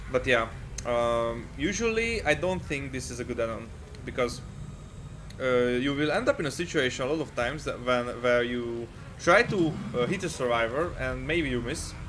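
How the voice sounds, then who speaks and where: There is audible room echo as a man with a non-native accent speaks at a medium pitch and moderate pace with ordinary pitch variation. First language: not English. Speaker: gaming video creator. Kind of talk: game guide commentary. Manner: halting, many fillers.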